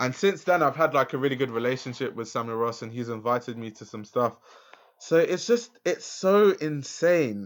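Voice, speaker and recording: In a very clean recording with a silent background, a man with a London accent speaks at a moderate pace. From south London, Lewisham. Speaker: fashion journalist and YouTuber. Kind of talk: casual interview chat.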